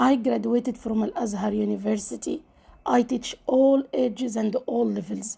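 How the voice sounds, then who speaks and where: A woman speaks at a moderate pace with an Arabic accent. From Egypt. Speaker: language teacher. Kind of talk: self-introduction promo.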